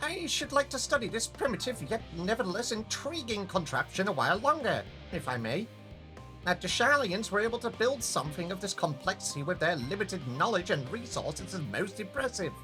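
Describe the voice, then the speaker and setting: A nasal, put-on character voice at a middle pitch goes at a fairly quick pace with clear music in the background. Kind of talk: stiff, formal, pedantic.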